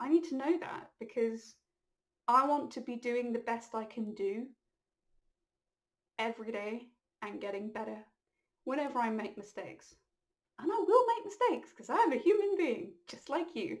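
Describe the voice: A woman's put-on character voice, high and croaky, at a moderate pace with long, frequent pauses.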